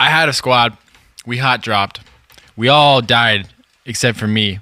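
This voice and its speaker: This man has a medium pitch and an American accent. He talks at a fairly slow pace with ordinary pitch variation. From Southern California. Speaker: musician in a pop band. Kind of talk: casual podcast chat. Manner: animated.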